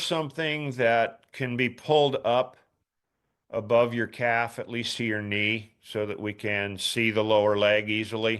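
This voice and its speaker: A man speaks in an ordinary speaking voice at medium pitch, fairly slowly, with fairly even intonation. The recording is very clean with a silent background. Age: 60s. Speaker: ski boot fitter. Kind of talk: Q&A advice session.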